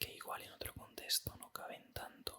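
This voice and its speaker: A man whispering in a calm tone. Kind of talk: ASMR whispered talk. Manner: whispered, calm.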